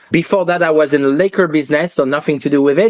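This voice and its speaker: This man has a strong French accent. His intonation stays fairly even. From France, Paris. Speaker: watch industry entrepreneur. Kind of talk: podcast interview.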